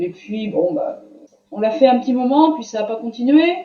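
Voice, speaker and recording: This woman's voice is high, with pitch varying in an ordinary way. She talks at a fairly slow pace. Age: 60s. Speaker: student giving a testimonial. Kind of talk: interview testimony. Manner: hesitant, many fillers.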